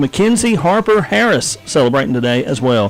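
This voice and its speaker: Someone with a Southern US accent speaks with very wide pitch swings over noticeable background noise. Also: man. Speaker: radio host. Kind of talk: casual chat; birthday announcements. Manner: casual, halting.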